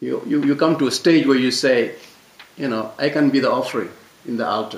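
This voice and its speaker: Noticeable background noise behind a man's medium pitch. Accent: non-native. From Mauritania, West Africa. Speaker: French teacher, discussion speaker. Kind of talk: panel discussion talk. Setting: public library talk with audience. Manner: halting, many repetitions and fillers; passionate.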